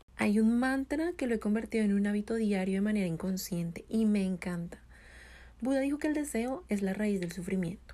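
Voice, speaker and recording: Recorded very cleanly against a silent background, a woman at medium pitch speaks fairly quickly with lively intonation, a dark, mellow tone, a somewhat breathy quality and very even loudness. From Colombia. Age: 20s. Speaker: podcast host. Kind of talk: solo monologue, motivational talk.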